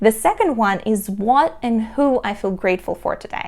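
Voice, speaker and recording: With a Russian accent, a woman speaks in a fairly high pitch that swings very widely. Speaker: entrepreneur and productivity vlogger. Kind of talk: tutorial.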